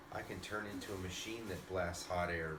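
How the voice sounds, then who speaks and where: A man uses a put-on character voice with a very deep, low pitch at a moderate pace. Loud noise fills the background. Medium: read story. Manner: energetic.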